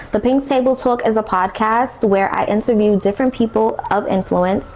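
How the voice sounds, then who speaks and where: Over noticeable background noise, a woman talks at a moderate pace with a fairly high pitch, fairly even intonation and very even loudness. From Brooklyn, New York, US. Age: 20s. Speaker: podcast host. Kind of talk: personal testimony podcast. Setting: beauty school influencer room. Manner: casual, conversational.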